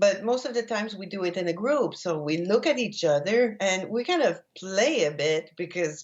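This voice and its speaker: A woman with a non-native accent speaks at a moderate pace and medium pitch, her intonation lively and her speech running with hardly any pauses. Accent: foreign. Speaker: laughter yoga trainer. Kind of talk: interview.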